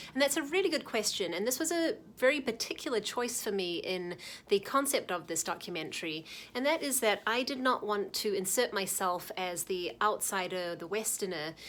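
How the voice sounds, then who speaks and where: A woman speaks at a moderate pace in a New Zealand accent. Her medium pitch moves in very wide swings. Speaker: documentary filmmaker. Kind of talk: talking-head explainer.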